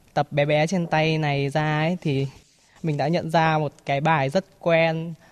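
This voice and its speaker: This woman's voice sits very deep and low. She talks at a very slow speed. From Hanoi, northern Vietnam. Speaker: university teacher. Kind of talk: poetry reading and personal sharing. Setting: outdoors.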